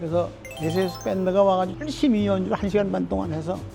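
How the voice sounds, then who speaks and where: Music in the background behind a man talking at a fairly quick pace. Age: 80s+. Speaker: Korean War veteran, former government minister. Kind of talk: interview answer, storytelling. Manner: casual, conversational.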